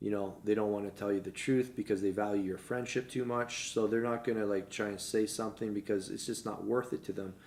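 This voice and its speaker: Pitched fairly low, a man talks at a fairly quick pace in a flat monotone, with hardly any pauses. The recording is very clean, with no background sound. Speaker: fitness entrepreneur. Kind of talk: casual chat. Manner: fast.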